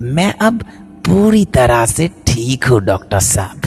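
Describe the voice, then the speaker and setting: A man uses a put-on character voice with a medium pitch and very wide pitch swings, going at a fairly slow pace over clear music in the background. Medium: read story. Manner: deferential, repeats "doctor sir".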